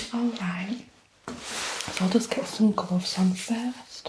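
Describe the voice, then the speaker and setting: Over noticeable background noise, a soft-spoken woman with a gentle tone talks at a medium pitch. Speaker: ASMR artist. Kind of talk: ASMR roleplay, student nurse, personal attention. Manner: soft-spoken, gentle.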